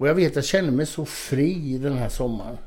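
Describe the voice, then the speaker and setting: This man has an unremarkable speaking voice at medium pitch. He talks at a moderate pace. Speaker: former bodybuilding champion and author. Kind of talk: casual interview.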